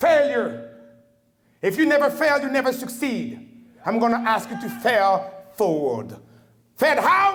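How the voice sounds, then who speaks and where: The man's pitch is extremely high, and he speaks at a fairly slow pace. There is audible room echo. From Congo. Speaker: Marine veteran, keynote speaker. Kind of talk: formal speech. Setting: banquet hall with audience. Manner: animated.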